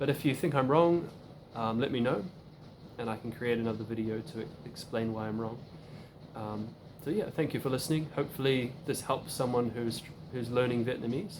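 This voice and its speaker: A man with a New Zealand accent at a medium pitch and ordinary pitch variation, fairly quick pace with long, frequent pauses, and audible room echo. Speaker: language learner video creator. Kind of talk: casual tutorial. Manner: hesitant, many fillers and repetitions.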